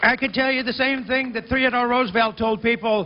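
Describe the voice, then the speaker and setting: Over noticeable background noise, a man with an extremely high pitch talks at a moderate pace in fairly even intonation. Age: 60s. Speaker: political speaker at rally. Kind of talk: rally speech. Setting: outdoor rally at state capitol. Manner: halting, repeats words.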